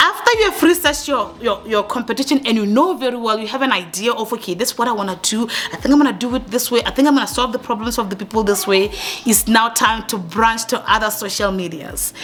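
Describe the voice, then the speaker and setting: A woman speaks at a very fast pace with ordinary pitch variation. Noticeable background noise runs underneath. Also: fairly high pitch for a woman. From Africa. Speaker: YouTube coach. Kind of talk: tutorial. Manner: intense, sounds angry.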